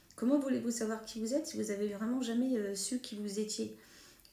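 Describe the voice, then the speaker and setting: At a fairly quick pace, a woman speaks in a fairly high pitch with ordinary pitch variation, her dark, mellow tone somewhat breathy. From northern France (Hauts-de-France, Picardy). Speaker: medium. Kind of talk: monologue to camera. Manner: hesitant, many fillers.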